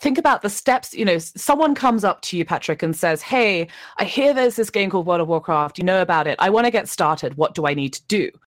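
A woman at a medium pitch with very wide pitch swings and a fairly quick pace, in a very clean recording with a silent background and a dry, close sound with no echo. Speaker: Twitch chat team lead. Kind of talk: casual chat.

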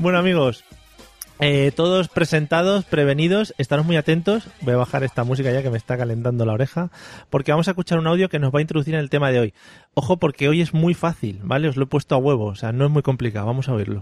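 A very fast-talking man with fairly high pitch and ordinary pitch variation, the sound dry and close with no echo. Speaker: podcast host. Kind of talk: casual comedic chat. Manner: animated, joking.

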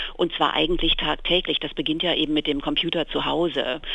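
A woman is speaking. Her pace is moderate. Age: 50s. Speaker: magazine editor. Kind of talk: interview. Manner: hesitant, many fillers.

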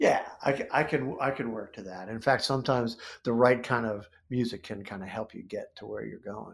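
Speaking fairly quickly with an American accent, a man keeps a medium pitch and fairly even intonation, with vocal fry. His loudness swings a great deal. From US Midwest, central Ohio. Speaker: comic book writer and illustrator. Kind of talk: interview conversation.

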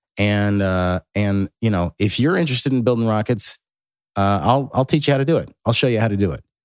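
A man speaks in a plain, everyday voice at a fairly low pitch. His pace is fairly quick, and the recording is very clean with a silent background. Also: lively intonation, dry, close sound with no echo. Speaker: podcast host. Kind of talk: solo monologue. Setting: home rocket room.

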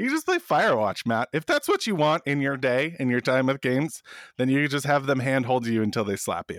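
A man with a fairly high pitch talks at a fairly quick pace, his pitch varying in an ordinary way. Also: dry, close sound with no echo, very clean recording, silent background. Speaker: video game podcast co-host. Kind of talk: casual chat. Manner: loud.

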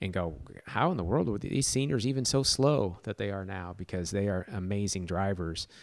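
A man talks in a normal speaking voice, pitched fairly low, at a moderate pace. The recording is very clean, with a silent background. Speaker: podcast host and club member. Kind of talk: casual interview.

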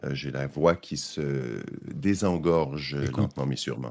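Vocal fry runs through this man's very deep, low voice. His pace is moderate. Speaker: tech journalist. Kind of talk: casual chat.

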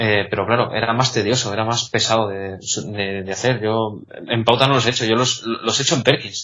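There is noticeable background noise as a man of medium pitch talks at a fairly quick pace. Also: fairly even intonation. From Spain, Salamanca. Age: young. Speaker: blind music student, trainee conductor. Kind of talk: interview. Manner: halting.

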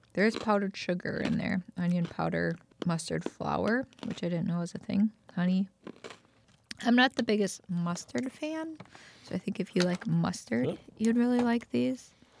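Quiet and at a moderate pace, a woman's medium-pitched voice moves through very wide pitch swings. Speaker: podcast co-host. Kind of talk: casual chat.

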